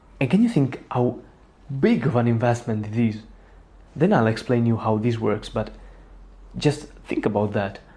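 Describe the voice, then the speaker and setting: With an Italian accent, a man speaks in a dark, mellow tone at medium pitch, his pitch varying in an ordinary way. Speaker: psychology content creator. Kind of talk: self-help talk to camera.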